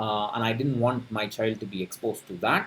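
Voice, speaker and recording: A man with a Tamil Indian accent speaks at a moderate pace. His voice is somewhat breathy. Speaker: personal finance youtuber. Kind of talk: casual talk to camera. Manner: halting, many fillers.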